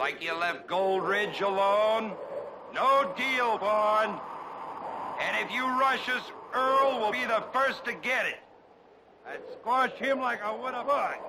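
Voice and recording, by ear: With audible room echo, a man slowly performs a put-on character voice, high-pitched, in a bright, sharp tone. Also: ordinary pitch variation.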